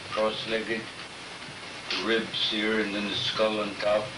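Loud background noise runs beneath a man who talks at a fairly slow pace. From Alaska. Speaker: former fox trapper and storyteller. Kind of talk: interview answer. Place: home room. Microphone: old recording.

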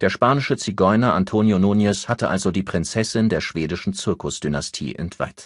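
On a very clean recording with a silent background, a man speaks at a low pitch and a moderate pace with ordinary pitch variation.

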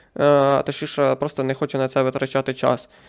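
A man with an unremarkable speaking voice, fairly high in pitch, talks at a moderate pace. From Ukraine, Poltava region. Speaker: gaming streamer. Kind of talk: live game stream commentary.

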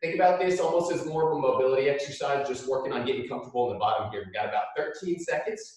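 Against a quiet background with strong room echo, a man talks at a very fast pace with ordinary pitch variation. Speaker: PE coach. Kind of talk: workout instruction. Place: gym. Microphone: camera far.

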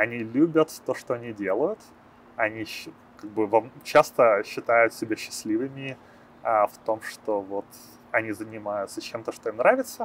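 A man speaks at a fairly slow pace, with long, frequent pauses and big swings in loudness. The sound is dry with no echo, over light background noise. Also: medium pitch for a man, fairly even intonation. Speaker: programmer and startup founder. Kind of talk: interview; interview answer. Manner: hesitant, many filler sounds. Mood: calm, friendly. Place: street. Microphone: lapel.

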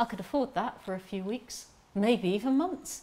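The pace is fairly slow as a woman talks. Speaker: actor in a monologue. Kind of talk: dramatic monologue addressed to a listener. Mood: earnest, gently defiant. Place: garden.

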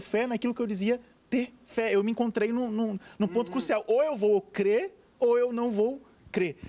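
In a Brazilian accent, a man speaks at an extremely high pitch. His tone is dark and mellow, and his pace is moderate. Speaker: pastor. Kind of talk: TV panel debate. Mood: earnest, reflective. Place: studio. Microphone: handheld.

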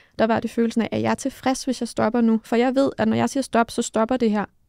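Against a quiet background with a dry sound and no echo, a woman with a fairly high pitch talks at a very fast pace. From Denmark. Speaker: mental coach and former judo athlete; podcast co-host. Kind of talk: casual chat. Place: studio. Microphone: studio mic.

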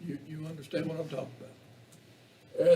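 This man speaks with an Appalachian accent. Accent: Southern Appalachian US. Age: 70s. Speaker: county commissioner. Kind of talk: public meeting debate. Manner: halting.

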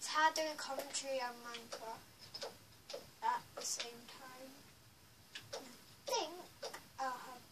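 This woman talks at a very slow pace. Loud background noise fills the recording. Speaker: gamer. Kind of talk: casual gameplay commentary. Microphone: phone near.

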